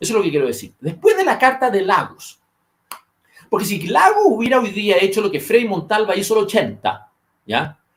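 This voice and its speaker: Animated, lively delivery from a man with a Chilean accent, high in pitch, at a moderate pace. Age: 50s. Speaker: political commentator. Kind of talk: political discussion podcast.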